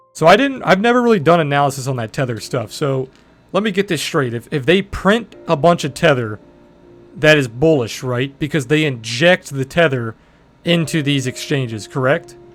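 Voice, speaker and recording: A man talks with a fairly high pitch at a moderate pace, with music in the background. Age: 20s. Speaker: crypto trader and streamer. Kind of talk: live stream chat. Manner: casual, hesitant with fillers.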